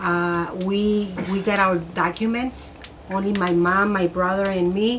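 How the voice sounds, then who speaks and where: The speaker talks fairly slowly in a monotone, flat intonation at very even loudness, with noticeable background noise and audible room echo. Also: woman, medium pitch for a woman. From Mexico, Ciudad Juárez. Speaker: host's mother. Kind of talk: casual chat. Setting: cabin by fireplace. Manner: halting.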